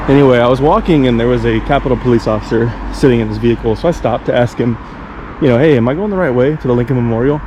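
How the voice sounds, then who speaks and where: Mumbling at a very fast pace, a man speaks at medium pitch with ordinary pitch variation over noticeable background noise. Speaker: travel vlogger. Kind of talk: casual vlog narration. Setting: outdoors.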